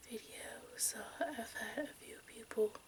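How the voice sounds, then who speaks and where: A woman speaks in a whisper. Noticeable background noise runs behind her. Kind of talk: casual talk to camera. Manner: soft-spoken.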